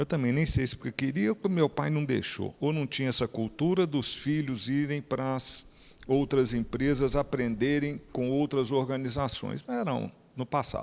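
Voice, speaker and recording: A man speaks in a plain, everyday voice at a moderate pace, medium in pitch with fairly even intonation. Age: 60s. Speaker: company executive. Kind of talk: speech to an event audience. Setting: stage with audience.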